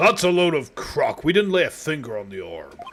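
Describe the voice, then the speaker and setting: Booming and pitched in the middle range, this put-on character voice moves at a moderate pace. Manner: indignant, defensive.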